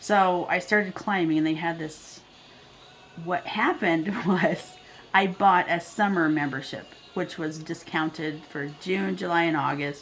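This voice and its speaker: A woman's fairly low voice with fairly even intonation over music in the background. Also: fairly slow pace. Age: 50s. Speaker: assemblage artist. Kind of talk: casual personal talk.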